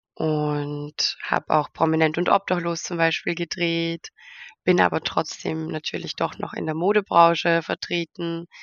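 With monotone, flat intonation, a woman talks at a fairly slow pace. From Austria, near Vienna. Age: 20s. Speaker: model and reality TV participant. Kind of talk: interview.

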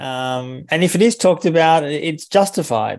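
With an Australian accent, a man speaks in a high voice with very wide pitch swings, and the background is quiet. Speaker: author and journalist. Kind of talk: interview.

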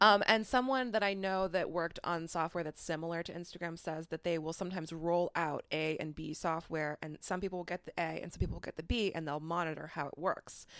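At a very fast pace, a woman talks in a fairly low voice with ordinary pitch variation. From Iowa. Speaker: podcast host, social media influencer. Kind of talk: casual chat.

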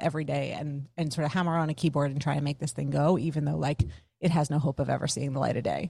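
Very deep and low in pitch, a woman talks very fast with an American accent and vocal fry. Her pitch varies in an ordinary way. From United States. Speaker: former tech PR professional, workplace consultant. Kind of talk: podcast interview conversation. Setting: video call.

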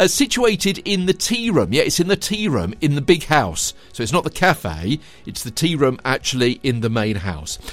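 Over music in the background, the speaker keeps an upbeat tone and a moderate pace with hardly any pauses. The pitch swings very widely. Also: man, fairly high pitch for a man. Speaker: podcast host. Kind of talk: scripted local news podcast presentation. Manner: formal, upbeat.

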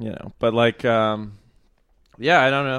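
This man has an American accent and a medium pitch. His intonation stays monotone and flat. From North Texas. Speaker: composer and music student. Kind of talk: casual chat.

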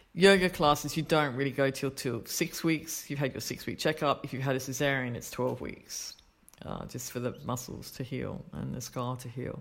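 A woman's very deep, low voice with vocal fry, a moderate pace, ordinary pitch variation and big swings in loudness. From Australia. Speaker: yoga teacher. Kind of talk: casual interview.

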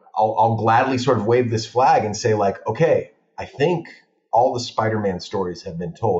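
A man speaks at a medium pitch with an American accent. His voice is somewhat breathy, with ordinary pitch variation. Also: moderate pace. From Los Angeles (San Fernando Valley). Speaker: film director. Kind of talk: casual chat.

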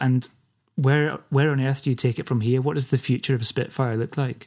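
In a very clean recording with a silent background, a man speaks with a Scottish accent. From Scotland. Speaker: podcast host. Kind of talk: interview conversation.

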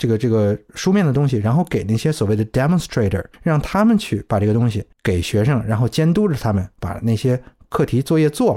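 A man's dark, mellow voice at a medium pitch, fairly quick with hardly any pauses, lively in intonation and very even in loudness, dry and close with no echo. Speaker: podcast guest, former UK expat. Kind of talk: casual chat. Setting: remote call. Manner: hesitant, many fillers.

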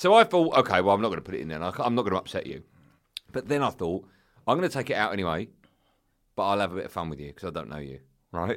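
In a very clean recording with a silent background, the voice shows vocal fry, very wide pitch swings and big swings in loudness, racing at a very fast pace broken by long, frequent pauses. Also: man, fairly low pitch for a man. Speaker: podcast host, broadcaster. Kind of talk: casual chat. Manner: switches to big podcast voice for intros.

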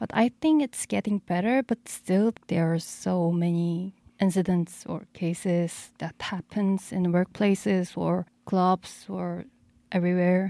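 Recorded very cleanly against a silent background, the sound is dry and close with no echo. A woman with a dark, mellow tone and medium pitch speaks at a fairly slow pace with ordinary pitch variation. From South Korea. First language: Korean. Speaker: DJ and music producer. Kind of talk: casual interview. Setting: studio. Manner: halting.

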